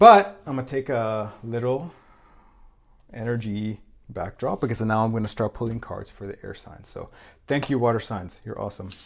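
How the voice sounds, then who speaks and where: This man talks at a medium pitch with ordinary pitch variation. The recording is very clean, with a silent background. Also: big swings in loudness. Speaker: tarot reader. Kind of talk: tarot reading monologue. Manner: fast; loud.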